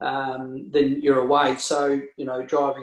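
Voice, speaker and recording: In a rural Australian accent, a man speaks at a fairly high pitch with monotone, flat intonation. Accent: Australian country twang. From rural Victoria, Australia (Hamilton). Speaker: real estate agent and auctioneer. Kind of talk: casual interview. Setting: video call.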